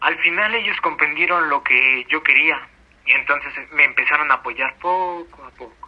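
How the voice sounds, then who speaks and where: Over noticeable background noise, a man with a high pitch and ordinary pitch variation speaks at a moderate pace, his loudness swinging widely. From Mexico City. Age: 30s. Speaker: pro gamer. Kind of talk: interview.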